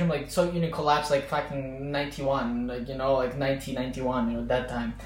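A man speaks over noticeable background noise. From Azerbaijan, Baku. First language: Azerbaijani. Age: 20s. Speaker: podcast guest, former student. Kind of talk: casual chat.

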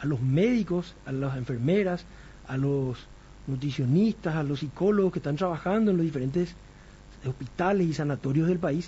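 A man speaks fairly quickly in a normal speaking voice. His pitch is fairly high, with ordinary variation. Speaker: doctor and radio health show host. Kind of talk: radio health talk show.

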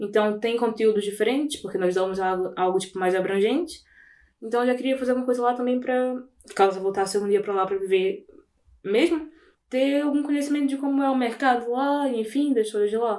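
A woman speaks at a fairly quick pace with a fairly high pitch. Her tone is dark and mellow, and her pitch varies in an ordinary way. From Brazil, Belém (Pará). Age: 20s. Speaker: recent communication sciences graduate. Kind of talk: casual chat.

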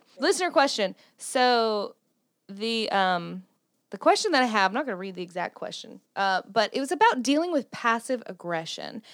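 A woman with a Southern US accent speaks at a moderate pace in a fairly high pitch. Her pitch swings very widely and her loudness shifts a lot. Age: 30s. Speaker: podcast host. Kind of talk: casual chat.

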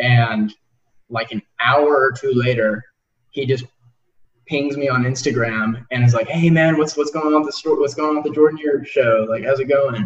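With a plain, everyday voice, a man talks at a moderate pace and medium pitch, his intonation fairly even. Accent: American. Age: 20s. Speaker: podcast host. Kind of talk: interview. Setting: video call.

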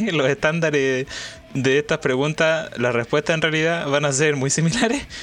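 Over noticeable background noise, a man with a fairly high pitch speaks at very even loudness and with fairly even intonation. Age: 20s. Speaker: student. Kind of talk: casual chat.

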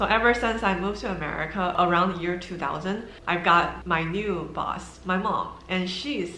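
With audible room echo and noticeable background noise, a woman at medium pitch speaks at a moderate pace with ordinary pitch variation and hardly any pauses. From China. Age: 30s. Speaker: YouTuber and loan agent. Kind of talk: personal vlog monologue.

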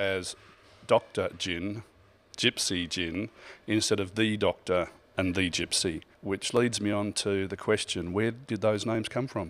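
A man with an Australian accent talks at a moderate pace in a fairly low voice. The recording is very clean, with a silent background. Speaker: podcast co-host, gin author. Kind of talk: casual chat.

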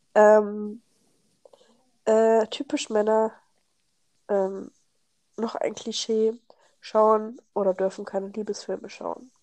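Speaking at a very slow pace with long, frequent pauses, a woman with a fairly high pitch and a dark, mellow tone keeps a monotone, flat intonation. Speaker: podcast co-host. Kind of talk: casual chat.

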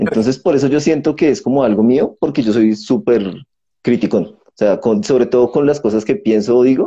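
Lively intonation marks this man's medium-pitched voice. His tone is dark and mellow, and his pace is moderate. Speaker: podcast host. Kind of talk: interview; outro. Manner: talkative.

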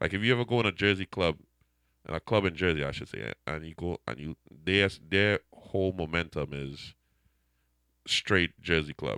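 Speaking with a Trinidadian accent at a moderate pace, a man with a very deep, low pitch and vocal fry uses lively intonation, big swings in loudness and long, frequent pauses, captured with a dry, close sound with no echo against a quiet background. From Trinidad and Tobago. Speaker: DJ. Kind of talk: casual interview chat. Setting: radio studio.

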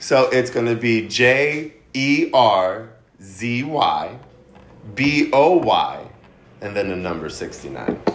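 Over noticeable background noise, a man with an American accent talks at a very slow pace. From New Jersey. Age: 30s. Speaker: podcast guest. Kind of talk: casual chat.

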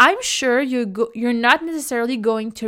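A woman speaks with an Algerian accent. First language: Kabyle. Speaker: podcast host. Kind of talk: casual solo podcast talk.

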